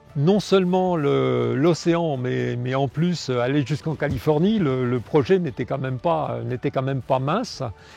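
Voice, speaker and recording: A fairly high-pitched man over music in the background, fairly slow in pace with hardly any pauses and ordinary pitch variation. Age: 60s. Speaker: retired farmer and cooperative board member. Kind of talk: testimony. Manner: halting.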